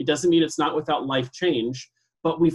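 The speaker has an unremarkable speaking voice with an American accent. The intonation stays fairly even. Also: man. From US Pacific Northwest, northern Idaho. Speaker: real estate sales leader and trainer. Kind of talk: casual interview.

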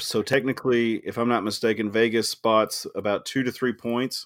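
A man speaks at a moderate pace in an unremarkable speaking voice, on a very clean recording with a silent background. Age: 30s. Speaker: podcast host. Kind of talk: casual chat.

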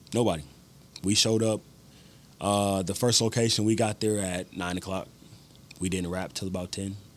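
With an American accent, a man talks at a moderate pace in a fairly low pitch, his intonation fairly even and broken by long, frequent pauses. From US Midwest. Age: 20s. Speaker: filmmaker and musician. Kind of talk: casual interview chat.

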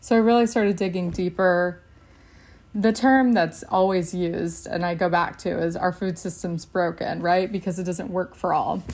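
A woman with a plain, everyday voice and an American accent, medium pitch, fairly even intonation and a moderate pace. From Texas. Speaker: nutritionist in dietitian training, food policy organizer. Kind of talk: casual podcast interview.

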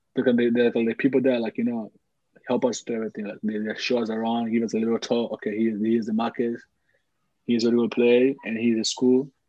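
A man's medium-pitched voice, monotone and flat in intonation, at a very fast pace. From Congo (DRC). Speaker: professional footballer. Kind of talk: interview, casual chat.

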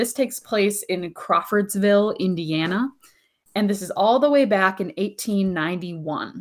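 An unforced reading voice carries ordinary pitch variation against a quiet background.

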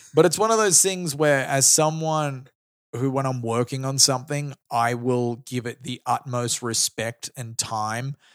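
A man with an Australian accent talks at a fairly slow pace and medium pitch, with ordinary pitch variation, in a dry, close sound with no echo. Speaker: comedian and radio host. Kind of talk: casual chat. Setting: studio.

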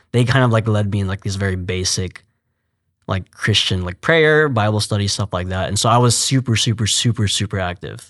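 In an American accent, a man talks at a fairly quick pace with a plain, everyday voice. His pitch is fairly low, his intonation fairly even, and the background quiet. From Texas, Fort Worth. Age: 20s. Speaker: youth ministry worker. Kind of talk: interview testimony.

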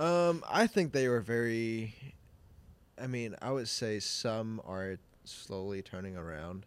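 In a very clean recording with a silent background, a man speaks very slowly at a medium pitch. His intonation is lively, and his loudness swings widely. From Hong Kong, moved to US as teen. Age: 20s. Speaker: church creative director. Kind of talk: casual interview chat. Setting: studio.

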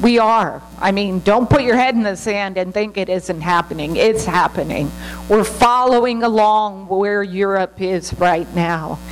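Over music in the background, a woman at a medium pitch talks at a fairly slow pace with hardly any pauses and ordinary pitch variation. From United States. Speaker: missionary. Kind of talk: church talk. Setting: church.

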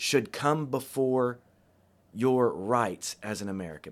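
Animated in tone and lively in intonation, a man speaks in a very clean recording with a silent background. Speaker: pastor. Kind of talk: solo podcast monologue. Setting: alone in church building.

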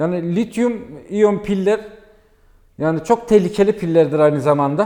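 A high-pitched male voice, dark and mellow in tone, with ordinary pitch variation at a moderate pace. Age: 40s. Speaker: electric bicycle shop owner. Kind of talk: casual interview. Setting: in his shop. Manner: hesitant, many filler sounds.

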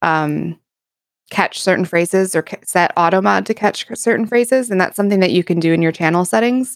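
In a very clean recording with a silent background and a dry, close sound with no echo, a woman with an American accent and a plain, everyday voice speaks at a medium pitch with lively intonation. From United States. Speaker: variety streamer. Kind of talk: casual chat.

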